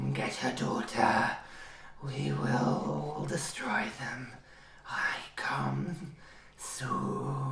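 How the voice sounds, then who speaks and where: A put-on character voice booms and growls. It moves at a very slow pace with long, frequent pauses. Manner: menacing.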